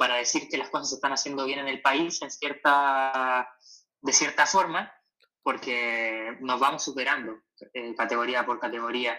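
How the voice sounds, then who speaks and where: Here a man speaks at a medium pitch with a bright, sharp tone. His intonation stays fairly even. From Chile. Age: 20s. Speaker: professional distance runner. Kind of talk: interview. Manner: halting, with many repetitions.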